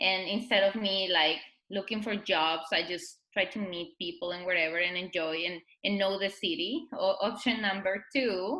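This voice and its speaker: A woman with a Spanish accent, medium pitch and ordinary pitch variation at a moderate pace, with music in the background. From Mexico. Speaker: blogger and influencer. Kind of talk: interview.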